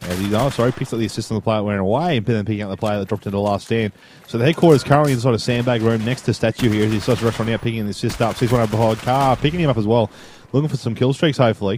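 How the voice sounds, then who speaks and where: Someone talks at a very fast pace with an Australian accent. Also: man, medium pitch for a man, ordinary pitch variation. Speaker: radiographer. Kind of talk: gameplay commentary. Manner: casual, chatty.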